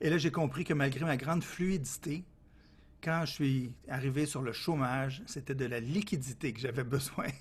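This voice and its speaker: With a Quebec accent, a somewhat breathy man speaks at a moderate pace with fairly high pitch and ordinary pitch variation, on a very clean recording with a silent background. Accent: Québécois French. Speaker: consultant. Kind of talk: interview. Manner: lively, cheerful.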